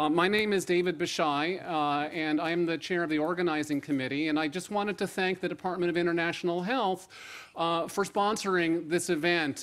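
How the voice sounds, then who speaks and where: His pitch high for a man, he talks at a fairly quick pace with fairly even intonation and very even loudness. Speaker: host. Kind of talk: opening remarks at an event. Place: hall. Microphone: podium.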